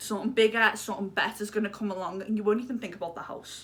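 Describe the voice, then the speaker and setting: A woman with a Liverpool accent talks at a very fast pace in a fairly high, animated voice. Noticeable background noise runs underneath. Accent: Liverpool (Scouse). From Liverpool, England. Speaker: lifestyle YouTuber. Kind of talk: casual advice vlog.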